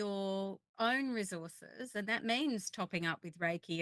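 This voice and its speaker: A woman speaks with a plain, everyday voice at a medium pitch and ordinary pitch variation. The sound is dry and close with no echo. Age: 50s. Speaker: Reiki practitioner. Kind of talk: online panel discussion.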